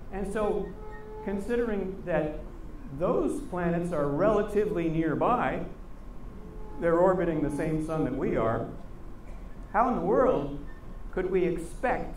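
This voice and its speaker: There is audible room echo and light background noise as a man talks at a fairly slow pace with long, frequent pauses. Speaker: guest lecturer. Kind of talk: lecture. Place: stage.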